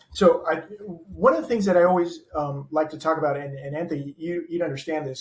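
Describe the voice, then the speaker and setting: A man's fairly high voice at a fairly quick pace with ordinary pitch variation. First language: not English. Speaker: former education official. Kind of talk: interview. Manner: hesitant, many fillers.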